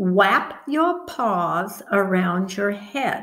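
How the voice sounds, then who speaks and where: A woman puts on a squeaky character voice pitched in her medium range. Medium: read story.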